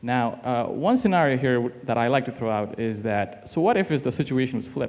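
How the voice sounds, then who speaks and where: Against a quiet background, a man with a non-native accent speaks at a medium pitch. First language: not English. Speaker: teaching assistant workshop facilitator. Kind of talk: workshop discussion.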